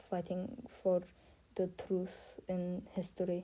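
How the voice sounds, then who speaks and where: A woman's somewhat breathy, dark and mellow voice at a medium pitch, at a fairly slow pace. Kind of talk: casual talk to camera. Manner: hesitant, many filler words.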